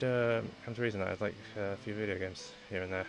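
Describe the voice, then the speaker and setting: With music in the background, a man talks at a fairly quick pace. His intonation stays fairly even. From United Kingdom. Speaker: VTuber streamer. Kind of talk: casual self-introduction stream. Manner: halting, lots of fillers.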